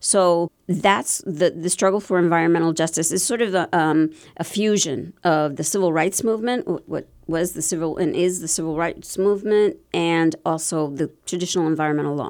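A woman with an American accent speaks in an unremarkable speaking voice, fairly low in pitch with ordinary pitch variation. She keeps a moderate pace with hardly any pauses, on a very clean recording with a silent background. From Pennsylvania, Bethlehem area (born South Bronx). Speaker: environmental lawyer and activist. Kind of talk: interview. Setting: studio.

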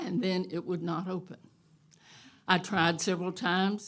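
A woman's fairly low voice at a moderate pace on a very clean recording with a silent background. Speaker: live storyteller. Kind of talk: live storytelling, personal anecdote told to audience. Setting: stage with audience. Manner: animated, dramatic, with cattle calls.

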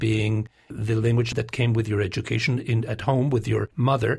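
A man speaks in a somewhat breathy voice. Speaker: radio host. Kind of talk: interview. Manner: formal.

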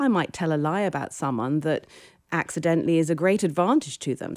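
A woman with a British accent and a very deep, low pitch, ordinary pitch variation and a moderate pace, on a very clean recording with a silent background. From Britain. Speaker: philosophy professor. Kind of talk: interview.

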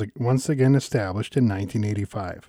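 Very fast and dark, mellow in tone, a man with an American accent speaks with ordinary pitch variation in a dry, close sound with no echo. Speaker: radio naturalist host.

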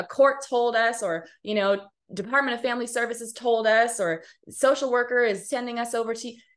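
A woman speaks in a high pitch. She has an American accent. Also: quiet background. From US West Coast, Pasadena, Los Angeles County. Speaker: nonprofit founder and director. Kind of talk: interview. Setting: video call.

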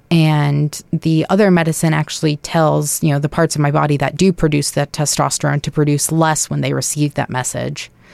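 A woman speaks at a fairly quick pace with a very deep, low pitch. The sound is dry and close, with no echo. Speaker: transgender interviewee. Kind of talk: interview, personal testimony.

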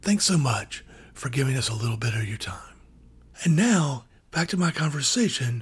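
Pausing long and often, a man with an American accent speaks in a somewhat breathy voice at medium pitch. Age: 50s. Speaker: radio host interviewer. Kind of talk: radio interview.

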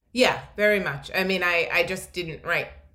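At a fairly quick pace, the speaker uses an American accent, with audible room echo around the voice. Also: woman. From Philadelphia. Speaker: novelist. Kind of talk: literary interview. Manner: halting with many fillers.

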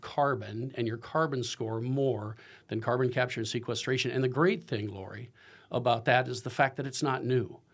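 On a very clean recording with a silent background, a man uses a normal speaking voice at medium pitch and moderate pace, with ordinary pitch variation. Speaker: agricultural business executive. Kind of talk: radio interview. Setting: studio.

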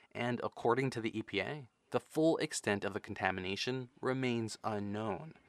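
At a moderate pace, a man uses an ordinary speaking voice with medium pitch and ordinary pitch variation, recorded dry and close with no echo. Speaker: radio reporter. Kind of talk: news reporting.

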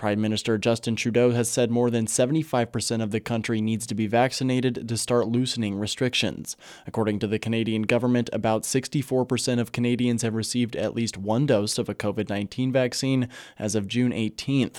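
A man talks at a very fast pace with a medium pitch. His intonation is monotone and flat. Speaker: radio news anchor. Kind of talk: evening radio newscast, reading short regional wildfire, wildlife and border items. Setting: radio studio. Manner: measured, even-paced formal newsreader delivery; crisp, neutral public-radio anchor tone moving briskly between stories.

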